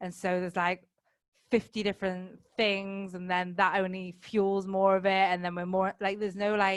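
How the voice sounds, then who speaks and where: The speaker is a woman with a northern English accent and a medium pitch. She talks at a moderate pace in a monotone, flat way. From northern England, Manchester. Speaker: life coach, podcaster. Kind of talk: casual chat.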